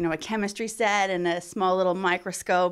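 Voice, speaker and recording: An ordinary speaking voice from a woman, medium-pitched and with fairly even intonation. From Ontario, Canada. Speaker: biomedical researcher, assistant professor. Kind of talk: interview, explaining research. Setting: in her lab.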